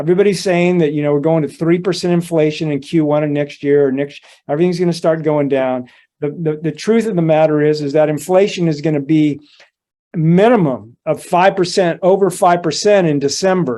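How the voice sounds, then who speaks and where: A man's fairly high pitch and dark, mellow tone, with ordinary pitch variation at a fairly quick pace. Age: 60s. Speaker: precious metals analyst. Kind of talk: interview.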